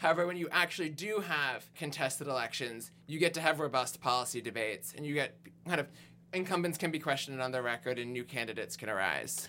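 A bright, sharp tone with vocal fry, ordinary pitch variation and a very fast pace. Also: man, fairly high pitch for a man. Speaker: progressive activist volunteer. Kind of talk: podcast interview.

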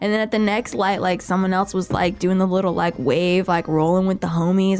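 An animated woman with an American accent, over noticeable background noise. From California. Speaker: podcast host and singer. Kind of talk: casual chat. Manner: animated, chatty.

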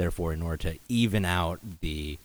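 With an American accent, a man speaks at a fairly slow pace in a somewhat breathy, very deep, low voice. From Los Angeles, US. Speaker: restaurant founder and CEO. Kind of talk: casual podcast chat.

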